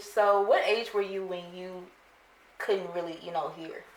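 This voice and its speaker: With noticeable background noise, a woman speaks at a medium pitch and a moderate pace. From Louisiana, Baton Rouge. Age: 20s. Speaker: student talk show host. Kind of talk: casual interview.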